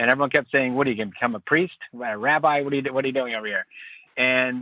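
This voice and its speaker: Pitch varies in an ordinary way as the man talks with an American accent. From Philadelphia suburbs, US. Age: 50s. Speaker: sports team marketing executive. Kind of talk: podcast interview. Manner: casual, halting with many fillers.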